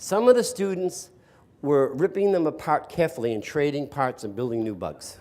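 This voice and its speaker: With an American accent and a dark, mellow tone, a man speaks at a moderate pace and fairly high pitch, his pitch swinging very widely. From US East Coast. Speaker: educator and speaker. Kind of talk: talk to audience.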